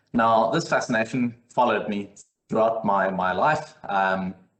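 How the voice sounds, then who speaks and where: At a moderate pace, a man speaks at a medium pitch in a South African accent. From South Africa, Cape Town. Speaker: technical consultant. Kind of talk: webinar presentation. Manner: hesitant, many fillers.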